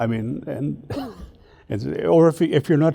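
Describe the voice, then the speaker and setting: A man speaks with a Manitoba accent. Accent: rural Manitoba Canadian English. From Eddystone, Manitoba, Canada. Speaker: Metis elder. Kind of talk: oral history interview answer.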